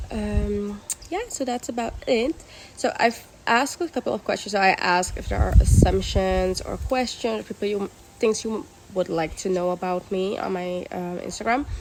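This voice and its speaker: Noticeable background noise behind a female speaker's moderate pace. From Curaçao. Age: 20s. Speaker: vlogger. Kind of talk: casual vlog introduction.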